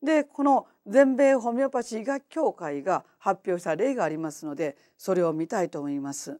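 A woman's dark, mellow voice with very wide pitch swings and hardly any pauses, over a quiet background. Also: moderate pace. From Japan. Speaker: homeopath; lecturer. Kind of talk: lecture. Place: hall.

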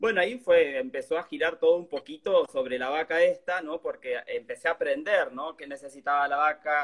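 The background is quiet as a man talks at a moderate pace. His pitch varies in an ordinary way. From Argentina. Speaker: cheesemaker and cook; interviewee. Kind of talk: casual chat. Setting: live stream video. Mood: relaxed, friendly. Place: home room. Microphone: phone near.

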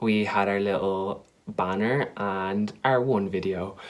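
Here a man speaks with an Irish accent. His pitch is fairly low, with ordinary variation. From Ireland. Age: young. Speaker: YouTuber, drama student; YouTuber. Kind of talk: casual vlog to camera. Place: home room. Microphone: webcam.

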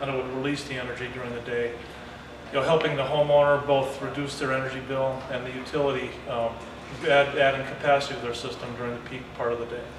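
Over noticeable background noise and audible room echo, a man speaks very fast in a monotone, flat delivery. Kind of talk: interview answer. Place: factory.

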